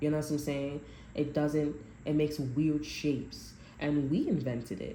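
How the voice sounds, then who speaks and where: Over audible room echo, a woman speaks in a very deep, low, somewhat breathy voice with a dark, mellow tone. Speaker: tarot reader. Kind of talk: tarot reading to camera. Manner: halting, many restarts.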